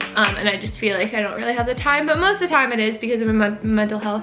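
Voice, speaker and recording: Noticeable background noise and audible room echo accompany a woman speaking in a fairly high pitch with ordinary pitch variation. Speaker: YouTuber. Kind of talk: casual chat. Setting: friend's living room, filming at home. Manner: fast.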